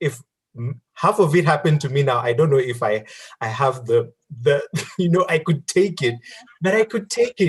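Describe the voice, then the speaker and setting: A man talks at a moderate pace with lively intonation. His voice is fairly high and somewhat breathy. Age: 30s. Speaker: career talk guest. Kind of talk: online group Q&A interview.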